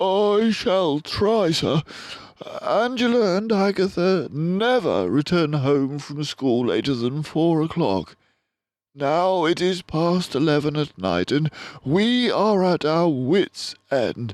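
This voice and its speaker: Against a quiet background, a man puts on a character voice, high in pitch and fairly slow. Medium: read story. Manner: hesitant, halting.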